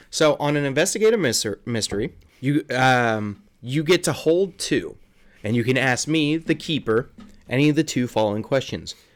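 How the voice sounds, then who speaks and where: In an ordinary speaking voice, a man with a fairly high pitch talks at a moderate pace with lively intonation. The recording is very clean, with a silent background. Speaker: game master running a tabletop RPG. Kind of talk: tabletop roleplaying game podcast, storytelling and banter.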